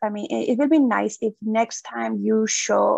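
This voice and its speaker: In a Persian accent, a woman speaks at a fairly slow pace. The sound is dry and close, with no echo. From Iran. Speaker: seminar audience member. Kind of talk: Q&A discussion.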